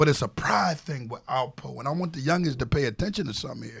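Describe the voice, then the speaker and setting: A man speaks with very wide pitch swings. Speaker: former prisoner. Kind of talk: heated debate. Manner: aggressive-sounding.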